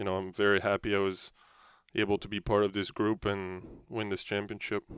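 Heard in a very clean recording with a silent background, a man's fairly low voice comes across dry and close with no echo, his intonation monotone and flat. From France. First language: French. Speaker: professional hockey player. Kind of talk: interview. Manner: halting.

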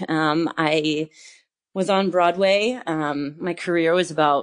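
Very slowly, a woman speaks in a very deep, low pitch with ordinary pitch variation. The background is quiet. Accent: American. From US Northeast, northern New Jersey. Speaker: yoga teacher and former Broadway dancer. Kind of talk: casual interview.

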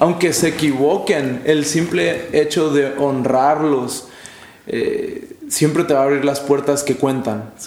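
A man speaks at a very slow pace and fairly high pitch with very even loudness, with audible room echo and noticeable background noise. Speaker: youth pastor. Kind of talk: casual chat. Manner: animated.

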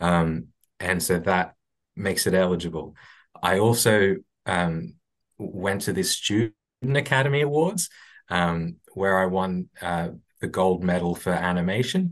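Very slow speech in an Australian accent, with lively intonation over a quiet background. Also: man, very deep, low pitch for a man. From Brisbane, Australia. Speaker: stop motion animator. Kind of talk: casual interview. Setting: video call. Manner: halting.

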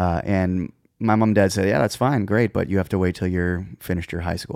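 A man with a very deep, low pitch talks at a fairly quick pace in a Canadian Prairies accent on a very clean recording with a silent background. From Saskatchewan, Canada (Moose Jaw). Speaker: touring musician and music director. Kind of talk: casual interview.

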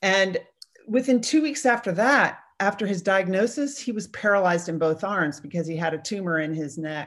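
A woman with an ordinary speaking voice talks at a medium pitch and a moderate pace. The background is quiet. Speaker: mindset coach and retired navy executive. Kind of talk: interview.

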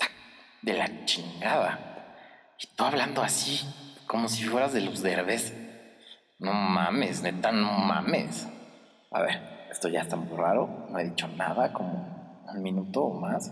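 A man with lively intonation and long, frequent pauses, audible room echo and music in the background. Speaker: podcast host. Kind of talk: comedic monologue. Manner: animated.

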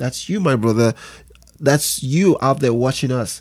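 On a very clean recording with a silent background, a man speaks at a moderate pace with a fairly high, somewhat breathy voice and ordinary pitch variation. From Nigeria, with early childhood years in England. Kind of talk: interview about Bible teaching.

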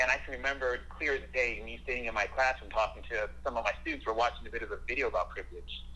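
The speaker talks very fast with an American accent and hardly any pauses. Background noise is noticeable. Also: man. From Southern California. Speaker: middle school history teacher. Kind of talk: interview. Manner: halting.

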